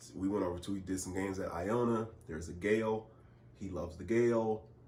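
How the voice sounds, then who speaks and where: A man speaks in a fairly low, somewhat breathy voice with ordinary pitch variation. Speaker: public address announcer and in-arena host. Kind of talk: interview answer, casual conversation.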